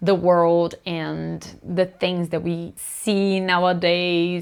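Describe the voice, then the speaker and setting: Very slowly, a woman speaks at a fairly low pitch with a Brazilian accent. The recording is very clean, with a silent background. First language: Portuguese. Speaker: booktuber. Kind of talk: casual talk to camera.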